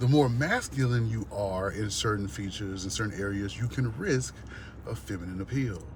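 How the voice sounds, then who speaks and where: A man with a fairly low pitch, somewhat breathy, with an animated tone, lively intonation and audible room echo. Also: moderate pace. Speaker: vlogger. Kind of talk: rant.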